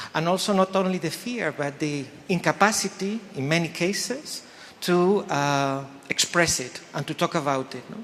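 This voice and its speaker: This man has a high pitch and ordinary pitch variation. He keeps a moderate pace. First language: not English. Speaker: faculty host introducing event. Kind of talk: event opening speech. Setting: lecture hall with audience. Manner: halting with many fillers.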